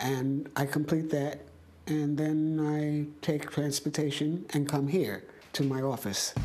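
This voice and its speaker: Noticeable background noise and audible room echo surround a woman with an American accent who speaks very slowly at a very deep, low pitch, in a monotone, flat intonation with very even loudness. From New York City. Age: 90s. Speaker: physician. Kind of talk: interview.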